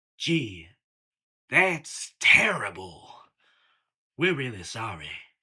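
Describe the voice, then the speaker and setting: Putting on a character voice, a man speaks very slowly at a medium pitch, his pitch swinging very widely. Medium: audio drama. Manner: blunt, streetwise.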